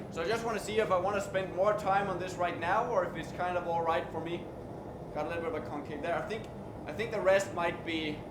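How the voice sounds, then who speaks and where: A man with a slight Danish accent talks at a very fast pace and a high pitch. Noticeable background noise and audible room echo surround him. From Denmark. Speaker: blacksmith streamer. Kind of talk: live stream tutorial. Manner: halting.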